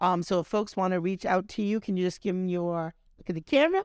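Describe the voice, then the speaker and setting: A woman with a fairly low pitch talking at a very fast pace, in a dry, close sound with no echo. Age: 50s. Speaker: podcast host. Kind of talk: casual interview. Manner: animated.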